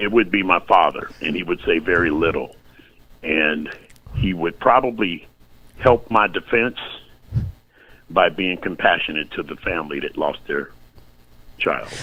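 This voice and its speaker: A man talks in a very deep, low voice with ordinary pitch variation. He leaves long, frequent pauses. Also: moderate pace. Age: 60s. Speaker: podcast guest, retiree. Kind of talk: casual chat. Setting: live online stream. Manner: halting.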